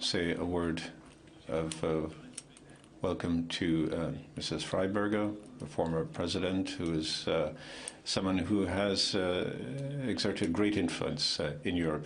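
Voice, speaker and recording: Very deep, low male voice, fairly slow with long, frequent pauses and fairly even intonation, in a room with audible echo. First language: French. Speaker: EU committee president. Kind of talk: conference speech.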